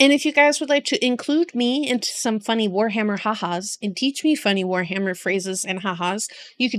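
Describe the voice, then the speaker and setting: At a moderate pace, a woman with a plain, everyday voice speaks at a fairly high pitch with ordinary pitch variation. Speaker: vtuber reacting to game lore. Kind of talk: casual livestream chat.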